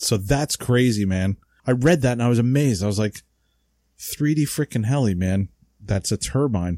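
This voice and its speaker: In a New Jersey accent, a man speaks at medium pitch and a moderate pace with a dark, mellow tone, ordinary pitch variation and very even loudness, on a very clean recording with a silent background and a dry, close sound with no echo. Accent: New Jersey American English. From US Northeast (New Jersey). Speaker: podcast co-host, radio-control model hobbyist. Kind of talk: casual chat. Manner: casual, slangy.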